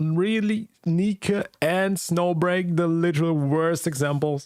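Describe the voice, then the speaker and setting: Speaking very slowly, this voice carries a non-native accent. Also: man, high pitch for a man, fairly even intonation. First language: not English. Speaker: gaming streamer. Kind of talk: reaction stream commentary. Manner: casual.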